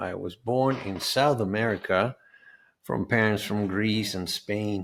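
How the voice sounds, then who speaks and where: A man with a Spanish accent, fairly low-pitched and fairly slow, with ordinary pitch variation. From Venezuela. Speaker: health and life coach. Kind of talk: summit presentation. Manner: halting with fillers.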